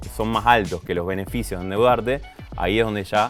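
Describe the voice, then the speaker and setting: Over music in the background, a man with a very deep, low voice talks at a very fast pace with ordinary pitch variation. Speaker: business sciences graduate, finance expert guest. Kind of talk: podcast interview answer.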